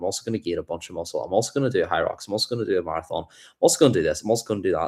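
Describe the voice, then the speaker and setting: A man talks at a very fast pace with a Northern Irish accent and an animated tone. The recording is very clean, with a silent background. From Ireland, between Dublin and Belfast. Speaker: livestreamer, self-improvement creator. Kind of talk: livestream chat, motivational talk. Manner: casual, animated.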